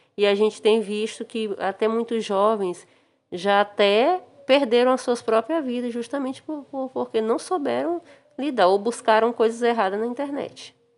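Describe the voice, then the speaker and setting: This woman's fairly high voice moves at a medium tempo, its pitch shifting a normal amount. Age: 40s. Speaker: interviewee. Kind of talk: interview answers. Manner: halting.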